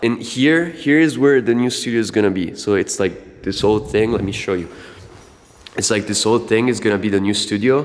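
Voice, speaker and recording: A man talks with a medium pitch, lively intonation and a moderate pace. Noticeable background noise can be heard behind him. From Italy. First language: Italian. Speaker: music producer and collective co-founder. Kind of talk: casual vlog. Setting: recording studio. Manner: halting.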